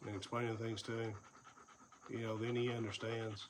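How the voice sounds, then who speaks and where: A man in an Appalachian accent speaks at medium pitch amid noticeable background noise. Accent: Southern Appalachian American. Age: 50s. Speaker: vlogger, former first responder and investigator. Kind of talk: personal vlog monologue. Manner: casual, with fillers.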